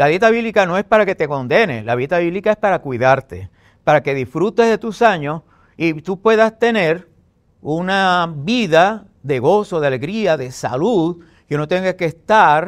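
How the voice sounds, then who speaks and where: High-pitched male voice with lively intonation at a fairly slow pace, on a very clean recording with a silent background. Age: 70s. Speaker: messianic pastor. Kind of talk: debate.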